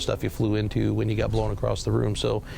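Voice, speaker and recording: With an American accent, a man talks at a very fast pace while audible room echo surrounds his voice. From Arkansas, US South. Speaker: army veteran. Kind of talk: testimony.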